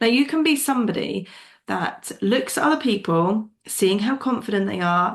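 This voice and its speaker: The speech has lively intonation in an English accent. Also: woman. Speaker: business coach podcast host. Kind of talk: solo podcast monologue. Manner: fast; animated.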